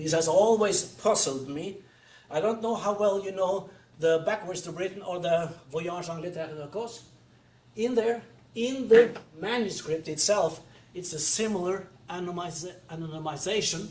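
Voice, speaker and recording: Audible room echo follows a high-pitched man whose loudness swings widely. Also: ordinary pitch variation, moderate pace. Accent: Norwegian. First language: Norwegian. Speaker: retired professor. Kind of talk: lecture. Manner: halting.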